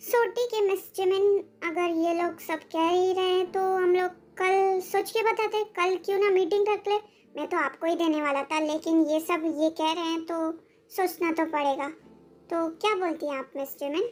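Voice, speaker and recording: This is a put-on character voice pitched extremely high. It moves along at a moderate pace. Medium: read story. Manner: flattering, smooth.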